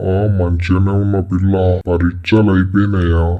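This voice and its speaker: Doing a cartoonish character voice, a man speaks at a moderate pace in a very deep, low register with monotone, flat intonation. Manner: teasing, prying.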